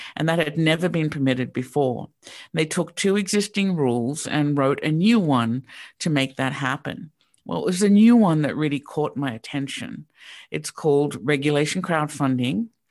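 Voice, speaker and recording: With an Australian accent, a woman speaks at a very deep, low pitch and moderate pace with lively intonation. The recording is very clean, with a silent background. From Sydney, Australia. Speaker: real estate crowdfunding founder. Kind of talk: interview. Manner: hesitant, frequent ums.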